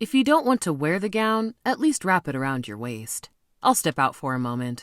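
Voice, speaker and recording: On a very clean recording with a silent background, a put-on character voice at a middle pitch swings very widely up and down while moving at a moderate pace. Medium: read story.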